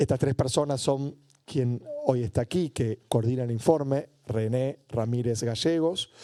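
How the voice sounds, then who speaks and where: A man's dark, mellow voice at medium pitch, fairly slow in pace with ordinary pitch variation, in a dry, close sound with no echo. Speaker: researcher presenting a report. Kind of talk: panel talk.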